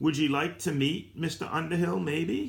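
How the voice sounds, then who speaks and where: Using a put-on character voice, a man talks at a fairly high pitch and moderate pace. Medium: read story. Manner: laconic, stolid.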